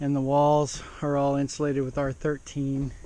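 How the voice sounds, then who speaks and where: A man talks in a voice pitched fairly high. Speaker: home builder vlogger. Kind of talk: casual video tour narration. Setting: indoors in an unfinished house, quiet. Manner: halting, many fillers; loud.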